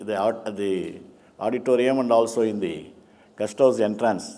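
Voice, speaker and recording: The man's voice carries a dark, mellow tone. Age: 70s. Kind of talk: conference speech. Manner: halting.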